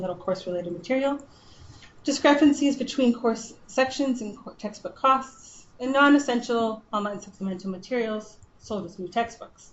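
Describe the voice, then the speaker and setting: A woman mumbles at a fairly quick pace with a fairly high pitch. There is audible room echo. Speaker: librarian. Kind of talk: conference presentation. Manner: mumbling.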